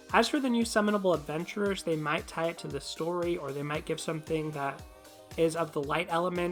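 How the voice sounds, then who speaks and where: A woman speaks at a fairly quick pace in a fairly low pitch, with ordinary pitch variation and music playing in the background. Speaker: gaming video creator. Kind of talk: commentary vlog.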